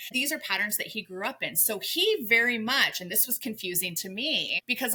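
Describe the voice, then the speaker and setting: An animated woman talks at a medium pitch over noticeable background noise. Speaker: life coach, podcast co-host. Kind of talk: casual podcast conversation. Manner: loud.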